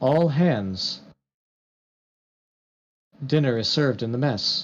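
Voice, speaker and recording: A man puts on a booming character voice at medium pitch. He speaks fairly slowly. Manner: calm.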